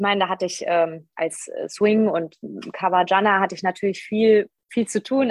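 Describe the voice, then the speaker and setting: Here a woman has an ordinary speaking voice, with a medium pitch, moderate pace and ordinary pitch variation. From Westerwald, Rhineland-Palatinate, Germany. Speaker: musical performer. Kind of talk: casual interview chat.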